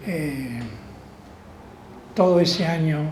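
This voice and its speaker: A man talks with ordinary pitch variation amid audible room echo. Background noise is noticeable. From Argentina, Rosario. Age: 80s+. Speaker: law professor. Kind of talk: interview. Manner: hesitant, with fillers.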